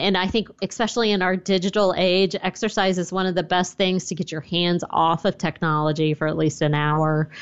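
A woman with an American accent and a plain, everyday voice, fairly low in pitch, fairly quick in pace, with fairly even intonation. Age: 40s. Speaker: personal finance blogger and author. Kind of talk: interview.

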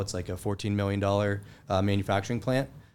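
A man with an American accent speaks in an ordinary speaking voice. His pitch is fairly low and his pace fairly quick. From western Pennsylvania, near Pittsburgh. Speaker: investor and wealth advisor. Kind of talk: casual interview.

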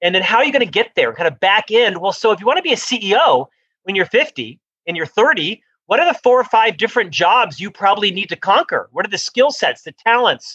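A man with an American accent projects a raised voice at a high pitch with very wide pitch swings and a bright, sharp tone. He talks at a fairly quick pace, and the sound is dry and close with no echo. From US South, Florida (Orlando). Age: 50s. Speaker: author and business executive. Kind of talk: interview.

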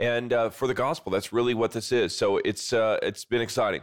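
With a Midwestern American accent, a man speaks at medium pitch and a fairly quick pace in a very clean recording with a silent background. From US Midwest, South Bend, Indiana. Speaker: pastor and author. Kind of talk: interview.

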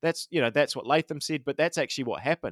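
A man talks in a fairly high pitch with fairly even intonation. The sound is dry and close, with no echo. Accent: New Zealand. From New Zealand. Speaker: cricket podcast host. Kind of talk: casual chat. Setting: video call.

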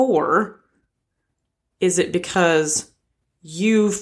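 Ordinary pitch variation from a woman, in a very clean recording with a silent background. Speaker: podcast co-host. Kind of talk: casual chat. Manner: soft-spoken.

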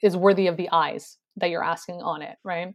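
At a moderate pace, a woman talks in an unremarkable speaking voice against a quiet background. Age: 30s. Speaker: writer and content creator. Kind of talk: casual chat.

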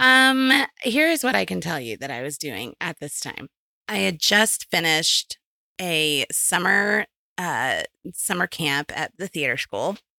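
A woman's voice, fairly low in pitch with a bright, sharp tone and vocal fry, swings very widely in pitch at a fairly slow pace, recorded dry and close with no echo. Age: 40s. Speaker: podcast co-host. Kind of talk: casual chat.

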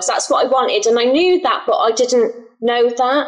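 In an English accent, a woman speaks at a high pitch with ordinary pitch variation. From England. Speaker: illustrator and online shop owner. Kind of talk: interview. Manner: halting.

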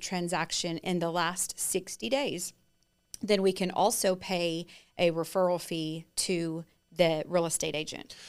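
A woman with a Texan accent, fairly low in pitch, fairly slow, and fairly even in intonation, on a very clean recording with a silent background. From East Texas. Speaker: home warranty representative. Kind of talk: casual chat.

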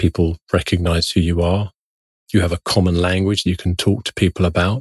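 Close and dry with no echo against a quiet background, a man with a very deep, low pitch speaks at a fairly quick pace in a monotone, somewhat breathy voice. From London. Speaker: psychiatrist. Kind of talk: interview, conversational.

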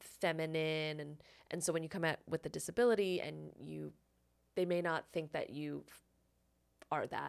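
A woman with a plain, everyday voice speaks at a fairly low pitch and a moderate pace on a very clean recording with a silent background. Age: 30s. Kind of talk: casual chat.

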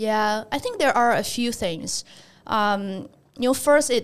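A woman with a Chinese accent, fairly high-pitched with ordinary pitch variation, at a fairly slow pace. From China, near Shanghai. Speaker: investment researcher. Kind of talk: interview conversation.

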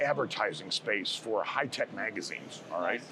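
Noticeable background noise accompanies this man, who talks with an American accent. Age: 50s. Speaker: sales manager. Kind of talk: casual interview.

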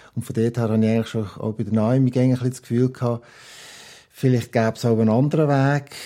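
A man with a dark, mellow tone and a medium pitch talks at a fairly quick pace in a monotone, flat intonation. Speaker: parent. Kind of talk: casual interview. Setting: at home at the living room table.

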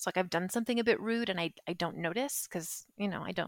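With a Western US accent, a woman speaks at a medium pitch with lively intonation, her sound dry and close with no echo on a very clean recording against a silent background. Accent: Western American. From US West, southern Utah. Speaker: expat interviewee. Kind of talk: casual interview chat.

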